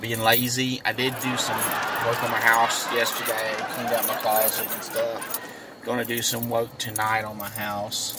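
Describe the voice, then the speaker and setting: A man's moderately paced speech is dry with no echo, though loud background noise surrounds it. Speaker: vlogger. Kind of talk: casual vlog chat. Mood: relaxed, chatty. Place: car. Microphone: earbuds.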